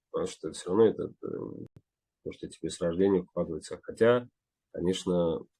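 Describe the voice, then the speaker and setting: Speaking at a fairly quick pace, a man leaves long, frequent pauses. His loudness swings widely. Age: young. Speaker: actor. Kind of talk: interview. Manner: halting.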